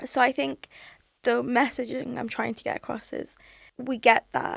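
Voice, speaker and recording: Someone with a British accent talks at a moderate pace, with big swings in loudness. The sound is dry and close, without echo. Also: woman. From UK. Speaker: language platform founder. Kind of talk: podcast interview.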